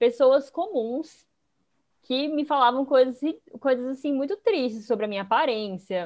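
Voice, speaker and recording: Her intonation lively, a woman speaks in a high pitch. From Fortaleza, Brazil. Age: 20s. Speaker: economist and investing educator. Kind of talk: podcast interview.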